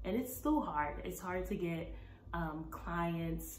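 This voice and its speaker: Against noticeable background noise, a woman talks fairly slowly in an American accent. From Brooklyn, New York. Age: 20s. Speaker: plant-based nutritionist and Zumba instructor. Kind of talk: casual talk to camera.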